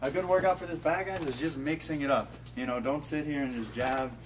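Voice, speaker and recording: A man speaks at a very fast pace, his pitch varying in an ordinary way, with light background noise behind him. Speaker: kickboxing instructor. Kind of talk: tutorial. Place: gym. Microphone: camera far.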